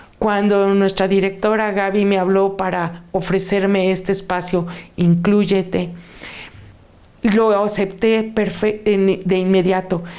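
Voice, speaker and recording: Speech comes at a very slow pace in a monotone, flat intonation, with audible room echo. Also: woman, medium pitch for a woman, very even loudness. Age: 60s. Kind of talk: testimony.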